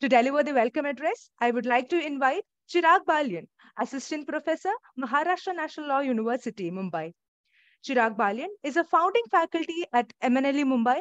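A woman speaks at a fairly quick pace in a high voice. The background is quiet and the sound is dry, with no echo. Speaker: webinar host, student moderator. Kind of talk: formal event introduction. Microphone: earbuds.

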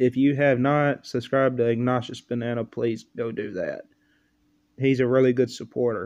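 A man speaks with a dark, mellow tone and a monotone, flat intonation. His pace is moderate, and the background is quiet. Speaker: reaction video creator. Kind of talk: casual vlog chat. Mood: amused, laughing. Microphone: webcam.

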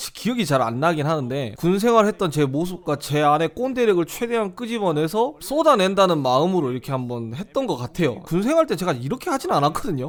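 A man with a high pitch talks at a fairly quick pace, his voice moving through very wide pitch swings. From South Korea, Jeolla and Gyeongsang. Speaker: YouTuber, gundam reviewer. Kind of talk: casual behind-the-scenes talk.

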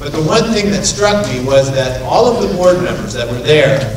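The room echo is audible and background noise is noticeable as a man talks at a moderate pace. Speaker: attorney. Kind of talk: ceremony speech. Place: hall. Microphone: podium.

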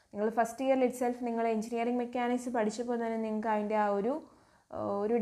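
A woman speaks in a dark, mellow tone at a fairly high pitch. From Kerala, Kollam district (Karunagappally). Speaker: engineering lecturer. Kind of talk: lecture. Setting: online class.

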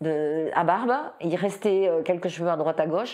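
A woman's fairly low voice, ordinary pitch variation, quiet background. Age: 60s. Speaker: breast cancer patient giving testimony; interviewee. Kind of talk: testimony. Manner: halting, with repetitions. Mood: emotional, reflective recollection. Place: home room.

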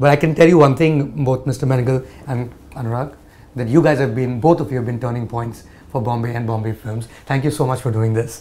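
This man talks at a fairly quick pace in a medium-pitched, somewhat breathy voice with fairly even intonation. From India. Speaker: journalist interviewer. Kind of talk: interview. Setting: director's office. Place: home room.

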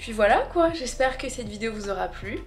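A woman talks while faint music sounds in the background. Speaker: vlogger. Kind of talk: casual vlog chat.

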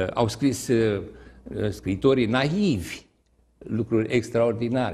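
Somewhat breathy, a man's dark, mellow tone moves at a very slow pace with ordinary pitch variation. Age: 70s. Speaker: retired teacher and writer; retired teacher. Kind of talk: TV interview. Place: studio.

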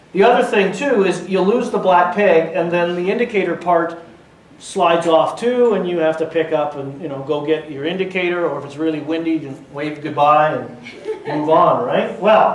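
A man speaks at a moderate pace in a high pitch, with ordinary pitch variation. Light background noise sits under audible room echo. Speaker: presenter. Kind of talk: live demonstration talk to an audience. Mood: jokey, relaxed. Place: hall.

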